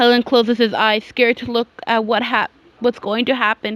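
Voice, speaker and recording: A woman at a moderate pace, in a dry, close sound with no echo. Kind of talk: creepypasta story reading. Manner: hesitant, with pauses and stuttering.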